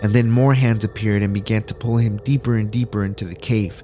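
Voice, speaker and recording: Speech at a fairly quick pace plays over music in the background. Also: man. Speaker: horror story narrator. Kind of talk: horror story narration, read aloud. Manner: tense, hushed, suspenseful storytelling; casual, upbeat host.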